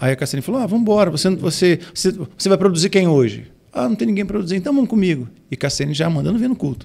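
This man talks at a very fast pace with a dark, mellow tone. His voice sits high and his pitch swings very widely. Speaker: pastor and music producer; pastor. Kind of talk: casual chat. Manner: halting, many repeated fillers. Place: studio. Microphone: studio mic.

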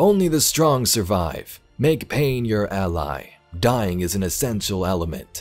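A man puts on a booming character voice with a fairly low pitch and very wide pitch swings. He keeps a moderate pace while faint music plays in the background. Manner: booming, commanding.

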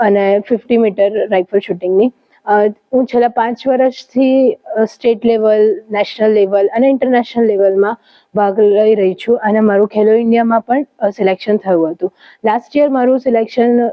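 A woman speaks at a very even loudness with fairly high pitch and fairly even intonation. Hers is an unremarkable speaking voice. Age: 20s. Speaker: athlete (rifle shooter), student. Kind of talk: interview statement.

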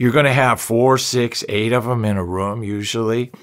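A man speaks at a moderate pace, and the background stays quiet. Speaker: presenter. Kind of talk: educational talk to camera.

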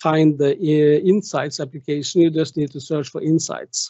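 A man speaks at a high pitch with a Norwegian accent. The sound is dry with no echo, and the background is quiet. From Norway. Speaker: tech conference speaker; conference speaker. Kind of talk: technical presentation with demo. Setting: online video meeting with screen share.

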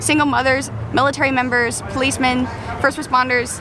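A woman's raised, projected voice with ordinary pitch variation, dry sound with no echo, and noticeable background noise. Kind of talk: interview answer. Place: street. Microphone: phone near.

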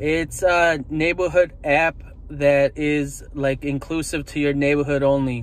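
A man at a fairly slow pace, fairly even intonation, dry sound with no echo. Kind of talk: casual vlog chat. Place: car. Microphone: phone near.

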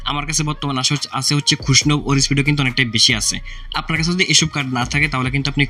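A man speaks at a fairly high pitch with fairly even intonation. Noticeable background noise runs through the clip. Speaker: gaming YouTuber. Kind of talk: gaming tutorial. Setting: indoor room at night, hot.

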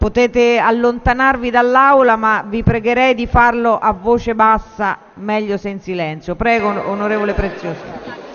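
Over light background noise, a woman talks at a moderate pace in a fairly high voice with fairly even intonation. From Italy. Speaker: parliamentary session chair. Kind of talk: formal procedural announcements. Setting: parliament chamber. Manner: formal. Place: hall. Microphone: podium.

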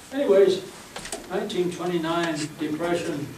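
A man with an American accent, light background noise and audible room echo. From Bremen, Indiana. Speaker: elderly local resident recalling history. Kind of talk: oral history interview answer. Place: meeting room.

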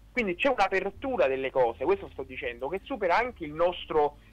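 A man talking at a fairly quick pace. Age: 20s. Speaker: philosophy student; interview guest. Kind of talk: radio interview testimony. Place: studio. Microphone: studio mic.

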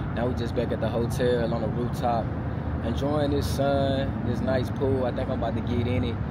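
Loud background noise runs under the recording. Through it, a man speaks at a moderate pace. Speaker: vlogger. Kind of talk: casual vlog chat. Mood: relaxed, reflective. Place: street. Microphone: lapel.

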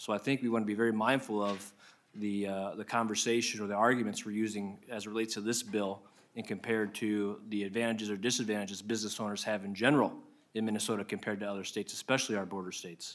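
Speaking very fast in a monotone, flat way, a man with an American accent uses a fairly low pitch. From Iowa. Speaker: state senator. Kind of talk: committee hearing questioning. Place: hall. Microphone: podium.

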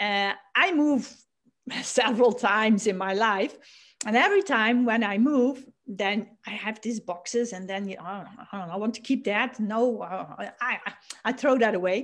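In a Dutch accent, a woman speaks at a fairly slow pace with a fairly high pitch and ordinary pitch variation. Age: 50s. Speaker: lifestyle coach and author. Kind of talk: interview. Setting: video call. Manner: halting.

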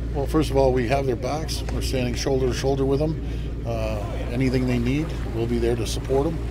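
A man talks fairly quickly in a dry, echo-free sound, with noticeable noise in the background. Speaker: politician at press scrum. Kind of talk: interview answer. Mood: earnest, reassuring. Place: waterside. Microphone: handheld.

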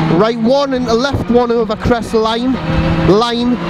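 Very slow speech with a dry sound and no echo, set against loud background noise. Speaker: rally co-driver. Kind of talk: rally pace notes read aloud at speed from an in-car notebook. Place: car. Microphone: helmet.

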